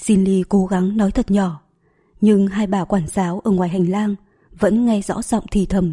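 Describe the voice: Fairly even intonation in plain reading aloud.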